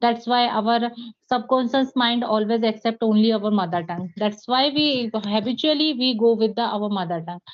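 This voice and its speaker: At a moderate pace, a woman with an Indian accent speaks at a fairly high pitch with ordinary pitch variation. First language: Hindi. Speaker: English teacher. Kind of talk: interview. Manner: halting, many fillers.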